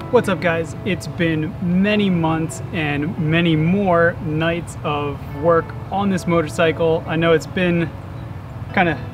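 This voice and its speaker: Music plays in the background. A man speaks with a high pitch. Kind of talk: casual vlog chat. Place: street.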